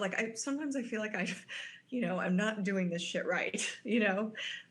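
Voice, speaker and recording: A woman with an American accent speaks fairly quickly in a fairly high voice with lively intonation, with audible room echo around her. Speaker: podcast co-host. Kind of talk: casual chat.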